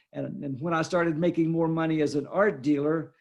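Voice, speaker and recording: A man's fairly high voice with a Texan accent, at a moderate pace against a quiet background. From Texas, Fort Worth. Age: 70s. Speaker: art dealer and author. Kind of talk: interview.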